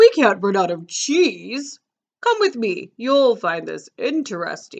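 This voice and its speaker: A female-sounding, put-on character voice, high in pitch and at a fairly slow pace. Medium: read story. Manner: friendly, jolly.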